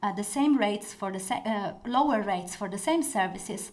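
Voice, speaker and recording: With audible room echo around her, a woman speaks at medium pitch and a moderate pace, with ordinary pitch variation. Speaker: corporate lawyer. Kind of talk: conference talk.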